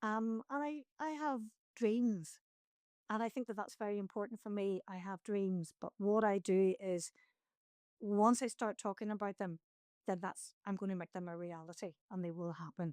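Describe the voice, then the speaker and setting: The voice carries a Northern Irish accent in a dry, close sound with no echo. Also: woman, medium pitch for a woman, ordinary pitch variation, moderate pace. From Northern Ireland. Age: 60s. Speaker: mountaineer. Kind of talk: interview conversation.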